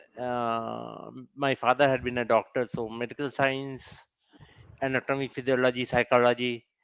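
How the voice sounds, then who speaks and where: In a Bengali accent, the speaker talks at a moderate pace with monotone, flat intonation, in a dry, close sound with no echo and a quiet background. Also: man, medium pitch for a man. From India, West Bengal. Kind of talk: personal testimony at a summit. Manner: halting, with fillers and self-corrections.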